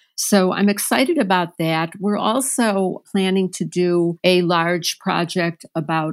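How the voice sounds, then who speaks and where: A woman's fairly low, unremarkable speaking voice at a fairly slow pace, with fairly even intonation, on a very clean recording with a silent background. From Chicago, US Midwest. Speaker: nonprofit news editor. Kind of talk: interview.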